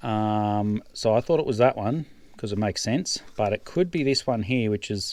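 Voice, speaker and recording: A man with an Australian accent talks at a fairly low pitch in a very clean recording with a silent background. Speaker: farmer. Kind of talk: tutorial. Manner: quiet.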